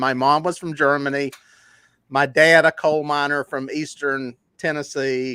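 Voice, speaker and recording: Bright and sharp in tone, a man talks with a Southern accent. The recording is very clean, with a silent background. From US South, Charlotte, North Carolina. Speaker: fishing guide and YouTuber. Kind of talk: interview. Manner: casual, conversational.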